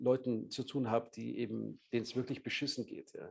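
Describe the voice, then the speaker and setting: A man's dark, mellow voice at medium pitch and moderate pace. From Bavaria, Munich. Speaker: journalist and Middle East correspondent. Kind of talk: interview.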